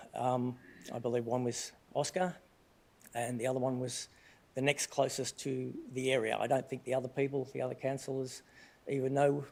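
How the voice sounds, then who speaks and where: With an Australian accent, a man speaks at a moderate pace and medium pitch in a monotone, flat intonation, leaving long, frequent pauses. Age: 60s. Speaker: resident asking question at council meeting. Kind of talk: public question at council meeting. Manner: halting, many fillers and restarts.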